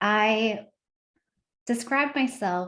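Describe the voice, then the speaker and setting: Here a woman is speaking. She has an American accent. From United States. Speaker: education leader. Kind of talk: panel webinar introduction.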